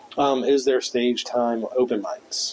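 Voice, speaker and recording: A man with an American accent speaks at a fairly slow pace amid noticeable background noise. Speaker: stand-up comedian. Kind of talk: casual chat.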